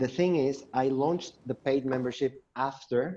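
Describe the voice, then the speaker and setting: A man with a non-native accent and a dark, mellow tone, at a fairly slow pace. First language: not English. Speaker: course creator asking a question. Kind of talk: live Q&A. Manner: halting.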